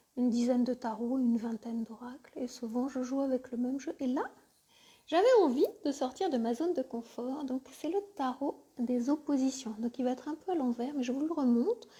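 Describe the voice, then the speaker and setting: A soft-spoken woman with a high pitch and a gentle tone, at a moderate pace with ordinary pitch variation. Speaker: spiritual coach and tarot reader. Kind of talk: live tarot reading session; guided meditation. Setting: live stream by the fireside. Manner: soft and gentle.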